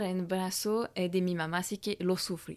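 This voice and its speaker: A woman with a French accent at a moderate pace, on a very clean recording with a silent background. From France. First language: French (speaking Spanish). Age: 30s. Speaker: image coach and podcast host. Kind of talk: solo podcast monologue.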